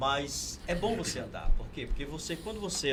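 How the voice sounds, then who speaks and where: Amid audible room echo and noticeable background noise, a man speaks at a fairly quick pace. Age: 50s. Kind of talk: interview.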